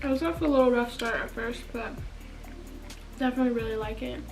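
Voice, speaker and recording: A woman's high voice at a fairly quick pace, with fairly even intonation and music playing in the background. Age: young. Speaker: YouTuber. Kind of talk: casual talk to camera.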